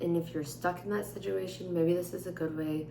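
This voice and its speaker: A woman speaks at a moderate pace with a very deep, low pitch. Audible room echo and noticeable background noise fill the recording. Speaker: vlogger. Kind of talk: casual chat.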